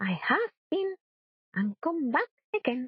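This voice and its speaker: A woman speaks with a Spanish accent. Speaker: storyteller. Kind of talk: reading aloud. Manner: soft-spoken.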